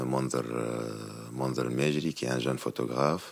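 Speaking in a Tunisian accent, a man talks very slowly in a very deep, low pitch with fairly even intonation. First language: Tunisian Arabic (speaking French). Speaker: musician. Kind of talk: interview. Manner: halting.

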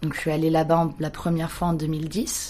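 Here a woman is speaking. Her tone is dark and mellow. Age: 20s. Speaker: photographer. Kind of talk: interview.

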